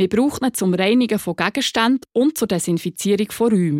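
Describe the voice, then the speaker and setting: In a very clean recording with a silent background and a dry, close sound with no echo, a woman with a normal speaking voice talks at a medium pitch and a moderate pace. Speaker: podcast host. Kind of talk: interview; scripted narration.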